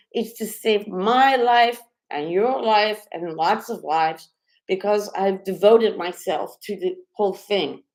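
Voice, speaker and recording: At a fairly slow pace, a woman with an ordinary speaking voice speaks with lively intonation. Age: 50s. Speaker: clown and mime performer. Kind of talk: live stream chat.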